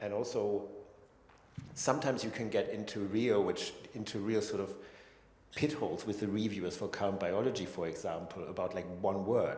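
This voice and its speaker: With a German accent, a man speaks at a fairly quick pace and a fairly low pitch, with ordinary pitch variation and audible room echo. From Germany. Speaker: neuroscientist. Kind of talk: panel discussion. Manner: halting.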